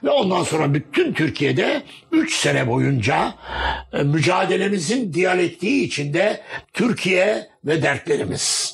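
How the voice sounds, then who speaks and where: The delivery is very slow, with very wide pitch swings and very even loudness. Noticeable background noise sits underneath. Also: man, high pitch for a man. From Gaziantep, southeastern Turkey. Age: 70s. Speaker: journalist and publisher. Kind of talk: oral history interview. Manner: formal.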